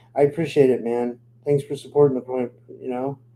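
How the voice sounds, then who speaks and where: With a Pittsburgh accent, a man talks at a fairly quick pace in a dark, mellow tone. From Pittsburgh, Pennsylvania, US. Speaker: podcast host. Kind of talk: live stream chat with viewers. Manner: casual, halting with many fillers.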